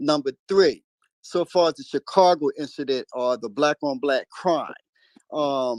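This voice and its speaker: Against a quiet background, a man in an ordinary speaking voice talks at a fairly slow pace and fairly high pitch, the sound dry and close with no echo. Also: ordinary pitch variation. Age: 60s. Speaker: caller in a live audio discussion. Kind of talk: call-in political discussion.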